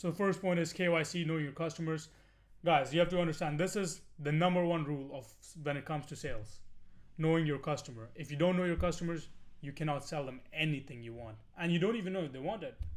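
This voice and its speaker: Speaking very fast, a man with a fairly high pitch shows ordinary pitch variation, and the room echo is audible. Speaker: online business course instructor. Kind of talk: tutorial. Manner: casual, filler-heavy.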